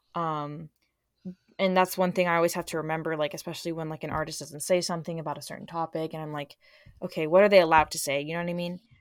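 Fairly low for a woman, her voice runs very fast in a monotone, flat intonation with big swings in loudness, on a very clean recording with a silent background. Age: young. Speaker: concert fan. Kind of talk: casual chat.

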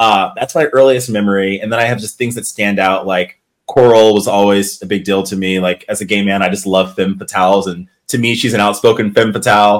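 A man speaks at a fairly quick pace in a normal speaking voice. His pitch is fairly low and his intonation fairly even. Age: 30s. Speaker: reality TV competitor. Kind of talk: casual chat.

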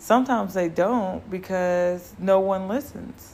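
A woman speaks at a fairly slow pace. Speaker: podcast host. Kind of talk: casual solo monologue. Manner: rambling, conversational.

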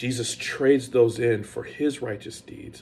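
Somewhat breathy and animated in tone, a man speaks at a fairly slow pace in a medium pitch. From South Carolina. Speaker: pastor. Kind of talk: casual sermon-style podcast monologue.

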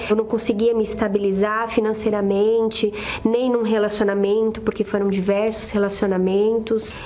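A woman's fairly high, flat monotone voice, with audible room echo and noticeable background noise. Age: 30s. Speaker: businesswoman giving testimony. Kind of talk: testimony.

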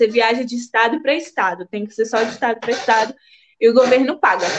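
A woman is speaking. Her pace is moderate. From Brazil, Espírito Santo (São Mateus). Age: 20s. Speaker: Instagram creator and immigrant. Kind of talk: casual interview on a live stream.

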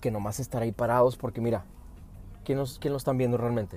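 A man speaks at a medium pitch, with music in the background. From US, Phoenix, Arizona. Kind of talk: casual chat. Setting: in a car.

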